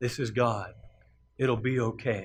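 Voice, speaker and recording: Booming in a put-on character voice, a man speaks at a medium pitch. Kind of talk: deep authoritative tone.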